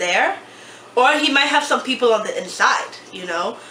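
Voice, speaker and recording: Noticeable background noise plus audible room echo. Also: woman. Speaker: YouTuber. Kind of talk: casual chat. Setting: at a table with tripod camera.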